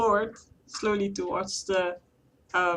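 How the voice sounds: Fairly even intonation in a natural reading voice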